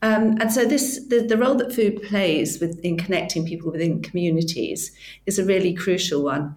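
A woman's unremarkable speaking voice at a moderate pace, with ordinary pitch variation. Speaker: platform founder. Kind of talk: interview.

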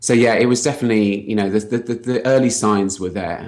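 Speaking at a fairly quick pace in a London accent, a man with a fairly low pitch and ordinary pitch variation is heard on a very clean recording with a silent background. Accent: British English, London. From London, England. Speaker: health hacker, former software engineer. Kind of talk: interview about health and talk topic.

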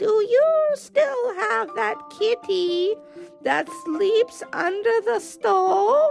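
Clear music plays in the background behind a put-on character voice speaking at a very slow pace. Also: woman. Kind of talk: storybook. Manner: eager, curious.

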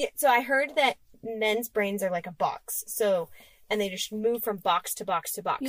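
A woman with an ordinary speaking voice, fairly high in pitch, with lively intonation at a moderate pace, in a dry, close sound with no echo. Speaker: podcast co-host. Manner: casual, chatty.

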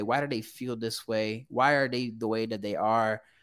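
On a very clean recording with a silent background, a man speaks with a Portuguese accent. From Brazil. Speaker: graduate counseling student. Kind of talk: interview.

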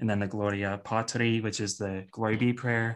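This is a plain, everyday voice with fairly even intonation. The pace is moderate. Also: man. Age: 20s. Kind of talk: casual interview chat.

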